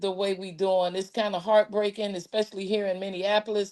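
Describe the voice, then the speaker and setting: Against a quiet background, a woman talks at a medium pitch. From Chicago. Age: 60s. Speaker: political activist. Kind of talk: casual chat. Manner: animated.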